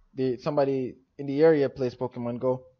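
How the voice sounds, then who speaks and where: A man talks with a Jamaican accent. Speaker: gaming streamer. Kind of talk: live stream Q&A.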